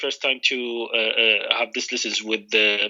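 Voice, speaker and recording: A man with an Arabic accent speaks at a fairly slow pace. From Iraq, Baghdad. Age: 40s. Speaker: English learner, UN contractor. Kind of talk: trial English lesson. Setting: Skype call. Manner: halting, many fillers.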